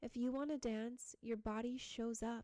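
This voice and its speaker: A woman speaks very slowly in a fairly high pitch. Her tone is dark and mellow, with monotone, flat intonation. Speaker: podcast host, hypnosis and meditation guide. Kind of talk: podcast self-help talk.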